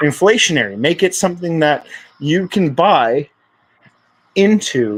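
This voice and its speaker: With lively intonation, a man speaks fairly slowly in a fairly high pitch. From Canada. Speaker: crypto project founder. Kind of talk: podcast interview. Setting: live stream.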